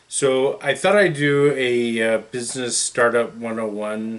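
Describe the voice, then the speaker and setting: In an unremarkable speaking voice, a man talks at a fairly slow pace with hardly any pauses, keeping a medium pitch with ordinary variation. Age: 50s. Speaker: business consultant. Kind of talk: tutorial. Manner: casual with frequent fillers.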